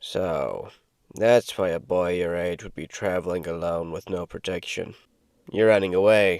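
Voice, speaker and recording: A man uses a put-on character voice, very deep, low and raspy, with monotone, flat intonation at a moderate pace. His loudness swings widely on a very clean recording with a silent background. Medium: read story. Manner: curt, gruff.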